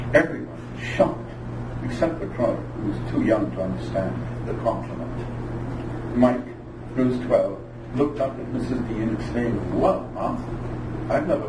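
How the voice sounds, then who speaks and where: There is noticeable background noise in this clip. A man talks at a moderate pace. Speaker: amateur short story writer. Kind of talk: live reading of his own short story.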